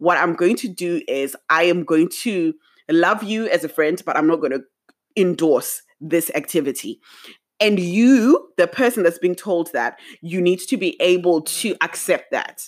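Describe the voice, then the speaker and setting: On a very clean recording with a silent background, a woman with a fairly low pitch speaks at a fairly slow pace in an animated tone with lively intonation. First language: not English. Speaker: podcast host. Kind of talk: casual solo monologue. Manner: chatty, animated.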